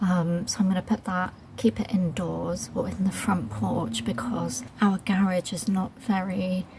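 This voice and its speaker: Soft-spoken and with a British accent, a woman talks at a fairly slow pace and medium pitch, with very wide pitch swings, hardly any pauses and noticeable background noise. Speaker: gardening vlogger. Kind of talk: casual vlog narration. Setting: outdoors in garden. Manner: quiet, soft-spoken; hesitant, many fillers.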